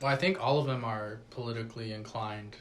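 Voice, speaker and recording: A man with a normal speaking voice and an American accent talks quickly enough, at a fairly quick pace, with medium pitch and fairly even intonation. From Coachella Valley, California. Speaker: DJ / music artist. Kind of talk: casual podcast conversation.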